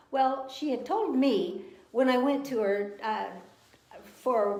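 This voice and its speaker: Woman's high voice at a very slow pace, with audible room echo. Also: lively intonation. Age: 70s. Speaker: cancer survivor. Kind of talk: testimony. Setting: live video stream.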